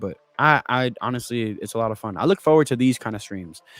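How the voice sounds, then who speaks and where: Music plays behind a man talking at a very fast pace. His medium pitch has ordinary variation, and the sound is dry and close with no echo. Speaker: sports YouTuber, fan streamer. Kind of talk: casual live stream chat. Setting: live stream. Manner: loud; talkative, rapid.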